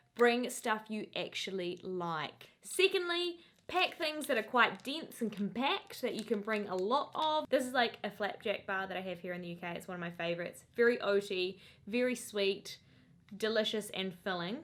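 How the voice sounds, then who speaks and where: A woman with a New Zealand accent speaks in a fairly high pitch at a moderate pace. Her tone is animated, with lively intonation and big swings in loudness. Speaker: lifestyle vlogger. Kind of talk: casual tips vlog.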